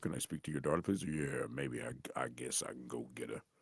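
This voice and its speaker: Vocal fry runs through this man's speech as he talks at a fairly quick pace with very wide pitch swings. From US Midwest, St. Louis. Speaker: voice actor. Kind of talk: interview.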